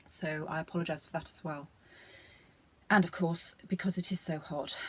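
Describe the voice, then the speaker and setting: At a moderate pace, a woman speaks in a fairly low, somewhat breathy voice with monotone, flat intonation. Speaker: knitting podcaster. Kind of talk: casual video podcast monologue. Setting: garden studio.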